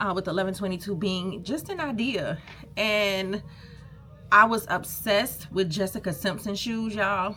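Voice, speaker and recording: Music plays in the background as a woman speaks in an American accent. Her pitch is medium and her pace moderate. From US South, Savannah, Georgia. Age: 30s. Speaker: small business owner and vlogger. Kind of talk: casual vlog storytime. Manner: animated.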